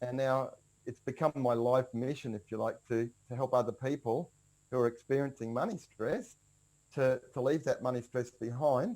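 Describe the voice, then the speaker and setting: Speaking with an Australian accent, a man keeps a medium pitch and a moderate pace. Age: 60s. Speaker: personal finance coach. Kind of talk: podcast interview. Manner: casual, with frequent fillers and repeats.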